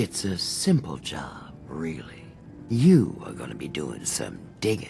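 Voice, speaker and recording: In a put-on character voice, a man talks at a fairly slow pace with a very deep, low pitch and very wide pitch swings, while clear background noise runs behind him. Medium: video game. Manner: streetwise, wheedling.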